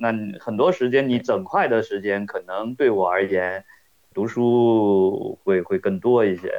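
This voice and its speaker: A plain, everyday voice from a man, medium in pitch with lively intonation. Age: 40s. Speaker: podcast listener. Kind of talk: casual chat.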